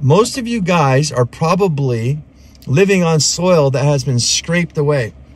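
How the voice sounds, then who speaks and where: A man speaks somewhat breathily with ordinary pitch variation, the sound dry and free of echo. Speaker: podcast host. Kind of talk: casual explanatory talk. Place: car. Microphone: phone near.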